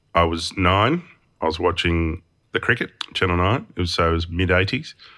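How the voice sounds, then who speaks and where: This man has a very deep, low voice and an Australian accent. He talks at a fairly quick pace. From Tasmania, Australia (Hobart). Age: 40s. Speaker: motion designer and studio owner. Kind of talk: interview. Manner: heavy breathing.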